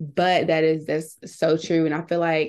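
Against a quiet background, a woman speaks at a fairly low pitch. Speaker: podcast co-host. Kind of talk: casual chat.

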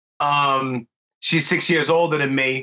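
His tone bright and sharp, a man speaks at a fairly high pitch with ordinary variation.

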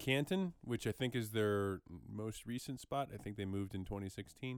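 With lively intonation at a moderate pace, this is an unremarkable speaking voice. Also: man. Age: 30s. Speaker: podcast co-host. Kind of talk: casual chat.

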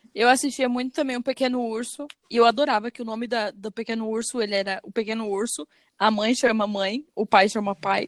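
With an ordinary speaking voice, a woman speaks at a fairly high pitch and a fairly quick pace, her intonation fairly even, in a dry, close recording with no echo. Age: 20s. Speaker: podcast co-host. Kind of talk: casual chat.

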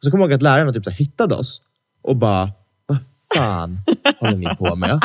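A man's voice swings very widely in pitch. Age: 20s. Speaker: podcast co-host. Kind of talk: casual chat. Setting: studio.

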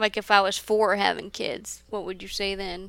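A woman with a Midwestern American accent speaks at a moderate pace in a medium pitch, her tone bright and sharp and her intonation flat and monotone. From US Midwest. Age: 20s. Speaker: pastry cook. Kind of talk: casual chat.

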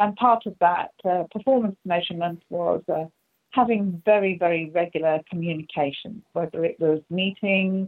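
This woman speaks with an English accent at a medium pitch. Her pace is fairly slow and her intonation fairly even. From England. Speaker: strategy consultant. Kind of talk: interview.

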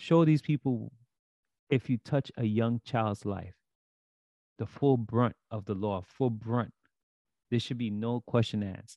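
Recorded dry and close with no echo, a man with a New York accent speaks fairly slowly at a medium pitch in a dark, mellow tone, with ordinary pitch variation and long, frequent pauses. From Brooklyn, New York. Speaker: sports podcast co-host. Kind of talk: casual chat.

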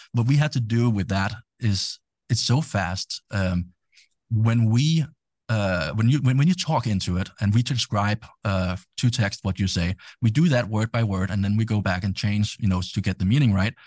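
A somewhatbreathy voice with a Danish accent at a moderate pace, against a quiet background, with a dry, close sound and no echo. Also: man, fairly low pitch for a man, ordinary pitch variation. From Denmark. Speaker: tech entrepreneur and DJ. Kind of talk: casual interview. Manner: hesitant with many fillers.

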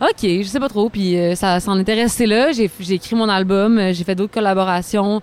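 A woman's plain, everyday voice at medium pitch, moderate pace, and ordinary pitch variation. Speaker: singer-songwriter. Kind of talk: casual chat.

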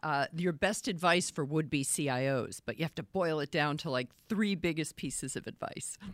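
In a Boston accent, a woman speaks with a very deep, low pitch and ordinary pitch variation. Her pace is moderate, with hardly any pauses. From Boston area. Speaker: interviewer host. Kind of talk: live interview. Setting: video call livestream.

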